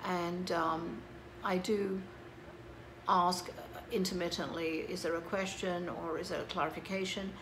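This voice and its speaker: A woman talks fairly slowly at medium pitch, in a monotone, flat intonation with long, frequent pauses. Noticeable background noise and audible room echo surround her voice. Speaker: psychic medium. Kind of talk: casual monologue to camera. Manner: hesitant with many fillers.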